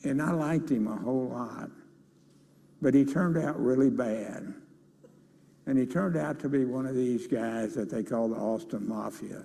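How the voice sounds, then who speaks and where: A dark, mellow tone with a Texan accent, a moderate pace, ordinary pitch variation, long and frequent pauses, and audible room echo. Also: man, medium pitch for a man. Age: 80s+. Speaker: business leader. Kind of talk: interview on stage. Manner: halting.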